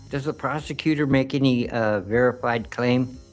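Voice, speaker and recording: Music sounds in the background as a man speaks at medium pitch. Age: old. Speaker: sovereign citizen defendant. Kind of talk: courtroom statement.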